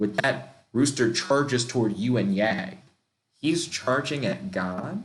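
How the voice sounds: The background stays quiet. The clip is a natural reading voice.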